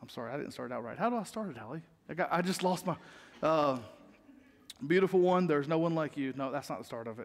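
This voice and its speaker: A man with a Southern US accent and a fairly high pitch, very fast delivery broken by long, frequent pauses, lively intonation and big swings in loudness. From US South, North Carolina (Rowan County). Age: 30s. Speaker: pastor. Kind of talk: sermon. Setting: church.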